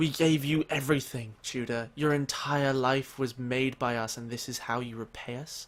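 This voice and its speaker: Using a booming put-on character voice, a man speaks at a medium pitch and moderate pace with fairly even intonation and hardly any pauses. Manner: accusing, resentful.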